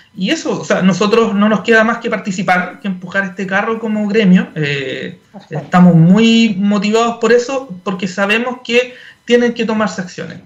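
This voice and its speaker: Over noticeable background noise, a man with a high pitch and ordinary pitch variation speaks at a moderate pace. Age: 40s. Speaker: energy industry association executive. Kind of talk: radio interview. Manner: halting, many fillers and repeats.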